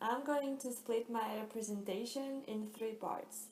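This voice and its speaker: Recorded with audible room echo and noticeable background noise, a woman at fairly high pitch talks at a fairly slow pace with fairly even intonation. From France. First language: French. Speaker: student. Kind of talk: class presentation.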